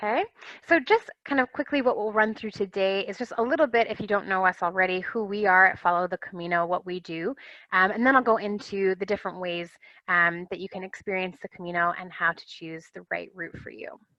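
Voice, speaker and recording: At a fairly quick pace, this voice speaks in an American accent with ordinary pitch variation and big swings in loudness. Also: woman, medium pitch for a woman. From US, Rhode Island. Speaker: travel consultant. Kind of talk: webinar presentation. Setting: webinar. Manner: many fillers (um, uh).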